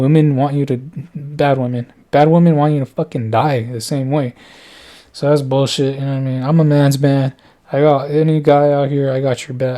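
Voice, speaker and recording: A man with a fairly high pitch and a dark, mellow tone speaks at a moderate pace in a monotone, flat intonation. The recording is very clean, with a silent background. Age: 30s. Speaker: vlogger. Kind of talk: casual monologue. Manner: rambling, halting.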